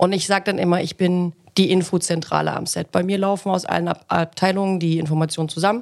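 In a plain, everyday voice, a woman speaks fairly quickly at a fairly low pitch with fairly even intonation, on a very clean recording with a silent background. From Thuringia, Germany (Ilmenau). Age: 30s. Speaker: film production set manager. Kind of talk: casual chat.

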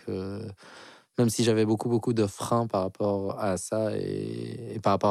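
The recording is very clean, with a silent background. A man talks at a fairly slow pace with a dark, mellow tone and fairly even intonation. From Algeria. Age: 30s. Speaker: artist and musician. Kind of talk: personal story interview. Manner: hesitant, many fillers.

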